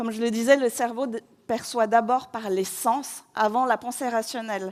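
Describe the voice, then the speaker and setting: Speech comes at a very slow pace. The recording is very clean and the background is silent. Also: woman. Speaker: interior designer giving a conference talk. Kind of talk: conference talk. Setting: stage with audience. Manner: chatty.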